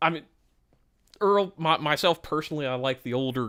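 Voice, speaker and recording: A man mumbles with lively intonation. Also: very clean recording, silent background. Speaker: streamer reacting to news documents. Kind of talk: live stream commentary with reading aloud. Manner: mumbling.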